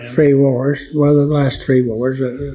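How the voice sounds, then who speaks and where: Over music in the background, a man speaks in a monotone, flat way at a fairly slow pace. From Oklahoma. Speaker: World War II Navy veteran. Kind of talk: interview answer.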